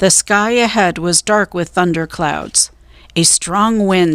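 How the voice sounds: The clip carries a natural reading voice. Pitch shifts in an ordinary way.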